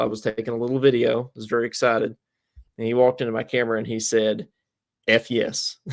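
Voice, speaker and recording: The voice races at a very fast pace in a monotone, flat intonation, with a slight Eastern Kentucky accent. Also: man. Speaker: podcast co-host. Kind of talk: casual chat. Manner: halting, many fillers and repeats.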